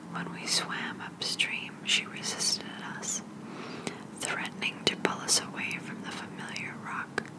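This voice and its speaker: Whispering at a fairly slow pace over noticeable background noise. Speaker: ASMR creator. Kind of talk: bedtime story reading. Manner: soft-spoken, whispered.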